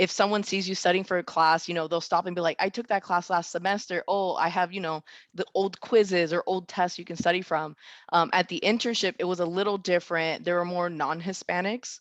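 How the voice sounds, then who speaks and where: A woman's plain, everyday voice, fairly low in pitch, with fairly even intonation and a fairly quick pace, in a dry, close sound with no echo over a quiet background. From South Florida, Miami (Puerto Rican born). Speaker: software engineer. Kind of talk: panel discussion.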